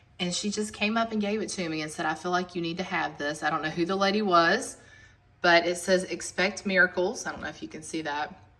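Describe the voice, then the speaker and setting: With an American accent, the speaker keeps a fairly even intonation over noticeable background noise. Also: woman. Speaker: home decor vlogger. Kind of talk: casual home tour narration.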